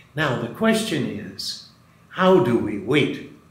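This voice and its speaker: The pitch swings very widely. Noticeable background noise and audible room echo are present. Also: man. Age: 70s. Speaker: Jesuit priest and retreat director. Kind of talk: spiritual reflection.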